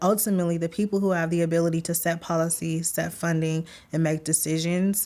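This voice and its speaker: In a dark, mellow tone, a woman speaks very fast at a fairly low pitch, with monotone, flat intonation and very even loudness. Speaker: nonprofit leader. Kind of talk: interview.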